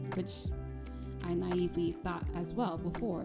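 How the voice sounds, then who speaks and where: A soft-spoken woman talks over music in the background. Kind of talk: video essay narration.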